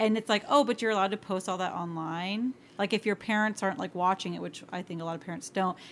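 A woman's medium-pitched voice at a very fast pace, with ordinary pitch variation, hardly any pauses, and a very clean recording with a silent background. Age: 30s. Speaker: teacher. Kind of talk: casual chat.

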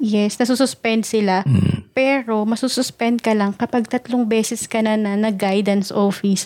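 Using a plain, everyday voice, a woman talks at fairly high pitch and a moderate pace with hardly any pauses, very even loudness and fairly even intonation. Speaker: podcast co-host. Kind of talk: casual chat.

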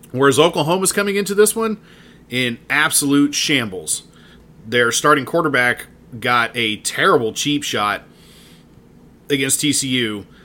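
The voice has a bright, sharp tone and very wide pitch swings, with an American accent. Long pauses come frequently. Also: man, fairly high pitch for a man, moderate pace. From Dallas, Texas. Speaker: sports podcast host. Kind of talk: solo sports commentary podcast. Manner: animated.

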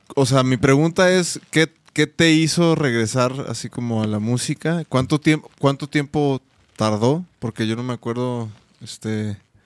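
A man with an unremarkable speaking voice talks at a fairly slow pace in a medium pitch. His pitch varies in an ordinary way, and the sound is dry and close with no echo. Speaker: co-host. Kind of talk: casual chat.

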